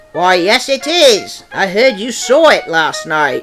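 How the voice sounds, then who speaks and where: A man's put-on character voice, high in pitch, with very wide pitch swings, a fairly slow pace and faint music in the background. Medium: machinima. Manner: brisk, confident.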